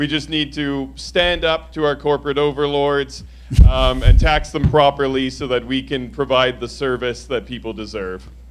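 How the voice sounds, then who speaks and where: A man with a Canadian accent at a moderate pace, with noticeable background noise. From Quebec, Eastern Townships (Lennoxville), anglophone. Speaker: election candidate. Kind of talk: candidate debate answer. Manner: loud.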